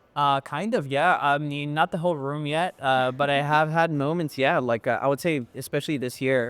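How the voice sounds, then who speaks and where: In a plain, everyday voice, a man with an American accent speaks at a moderate pace and a fairly high pitch, with fairly even intonation and hardly any pauses. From Dallas, Texas. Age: 20s. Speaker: musician. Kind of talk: interview answer. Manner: casual, relaxed.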